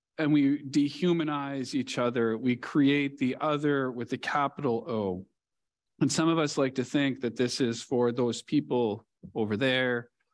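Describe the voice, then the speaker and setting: Over a quiet background, a man speaks fairly slowly. His pitch shifts in a normal way. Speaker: preacher. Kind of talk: sermon. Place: church. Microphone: headset.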